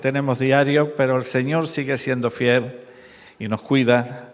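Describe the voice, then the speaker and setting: The speaker talks at a fairly slow pace in a monotone, with flat intonation. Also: man. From Málaga, Andalusia, Spain. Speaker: preacher. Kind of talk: sermon.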